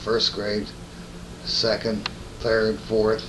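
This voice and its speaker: Over noticeable background noise, the voice carries a Northeast Pennsylvania accent. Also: man. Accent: Northeastern Pennsylvania American English. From Stroudsburg, Pennsylvania. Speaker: retired car dealer. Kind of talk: oral history interview answer.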